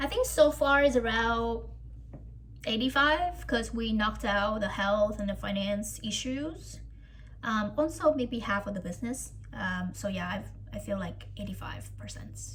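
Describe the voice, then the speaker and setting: Fairly slow speech from a woman with a non-native accent, big swings in loudness and audible room echo. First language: not English. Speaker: coaching client. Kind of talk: coaching session. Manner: halting.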